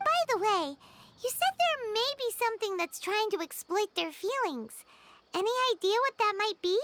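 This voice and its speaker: This put-on character voice is squeaky and extremely high in pitch. It moves along at a moderate pace. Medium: video game. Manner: reassuring, casual.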